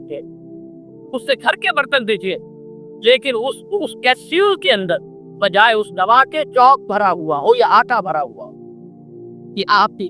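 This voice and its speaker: Music plays in the background as a man speaks in a raised, projected voice. His pitch is high and his intonation lively. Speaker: Islamic scholar. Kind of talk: religious lecture.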